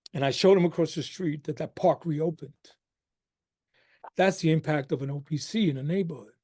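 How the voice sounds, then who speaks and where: In a New York accent, a man with a fairly high voice and a dark, mellow tone talks at a fairly quick pace, with ordinary pitch variation and long, frequent pauses. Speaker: harm reduction program director. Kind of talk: webinar talk. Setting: webinar.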